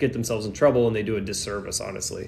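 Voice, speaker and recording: A man with a Texas accent speaks at medium pitch, his intonation fairly even, with audible room echo. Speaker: immigration attorney. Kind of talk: live Q&A stream. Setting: livestream from airport during flight delay. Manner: casual, filler-heavy.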